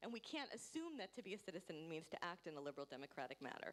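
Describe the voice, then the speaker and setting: A woman's voice shows vocal fry and very wide pitch swings. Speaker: panel speaker at a forum. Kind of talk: panel discussion talk. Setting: conference with interpreter. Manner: fast; hesitant with fillers.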